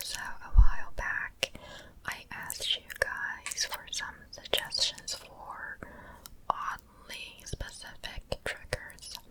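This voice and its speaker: A whisper creeps along very slowly while clear background noise carries on. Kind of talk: ASMR whispered comment reading. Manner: whispered, soft-spoken.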